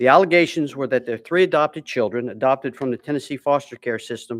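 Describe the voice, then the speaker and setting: On a very clean recording with a silent background and a dry, close sound with no echo, a man of medium pitch speaks at a very fast pace with ordinary pitch variation. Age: 60s. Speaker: witness testifying at a legislative hearing. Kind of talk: formal testimony. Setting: legislative hearing room. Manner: reading prepared statement, some stumbles.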